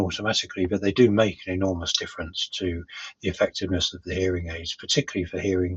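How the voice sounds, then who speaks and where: Here a man with a very deep, low pitch talks in a monotone with flat intonation. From London. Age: 60s. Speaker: hearing aid customer. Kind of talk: testimonial. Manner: hesitant, many fillers.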